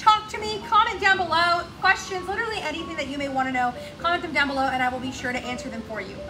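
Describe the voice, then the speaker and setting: Over clear music in the background, a woman speaks in a raised, projected voice. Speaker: boutique live-sale host. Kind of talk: live shopping show chat. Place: shop. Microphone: camera far.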